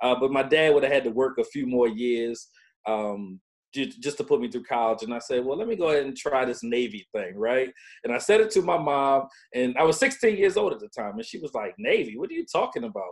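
Speaking at a fairly quick pace, a man with an American accent moves through very wide pitch swings. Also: medium pitch for a man. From Baltimore, Maryland. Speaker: veteran, claims consultancy CEO. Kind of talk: casual interview, personal story.

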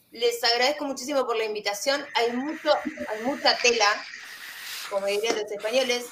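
With an Argentine accent, a woman speaks at a moderate pace in a high pitch with ordinary variation, over noticeable background noise. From Argentina. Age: 30s. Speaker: vape shop owner and vaping advocate. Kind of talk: panel discussion.

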